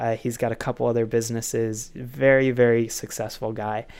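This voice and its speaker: With a normal speaking voice, a man talks at a moderate pace, medium in pitch and fairly even in intonation, on a very clean recording with a silent background. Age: 20s. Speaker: podcast host and author. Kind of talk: interview.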